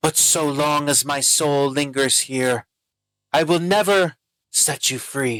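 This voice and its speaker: A growling put-on character voice moves at a fairly slow pace. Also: man, fairly high pitch for a man. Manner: snarling, menacing.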